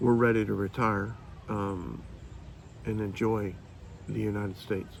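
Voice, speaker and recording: Audible room echo surrounds a man's fairly low voice. His intonation stays monotone and flat. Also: moderate pace. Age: 60s. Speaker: full-time RVer vlogger. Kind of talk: casual chat.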